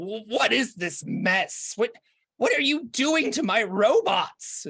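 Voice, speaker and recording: In a put-on character voice, the speaker uses a fairly high pitch and a very slow pace. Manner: confused, annoyed.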